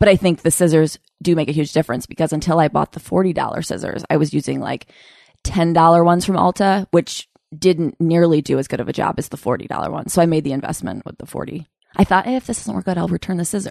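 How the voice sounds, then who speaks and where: A woman's fairly low voice at a very fast pace. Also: ordinary pitch variation, dry, close sound with no echo. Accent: American. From Upstate New York (Utica area). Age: 30s. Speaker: comedian and podcast host. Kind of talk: casual interview chat.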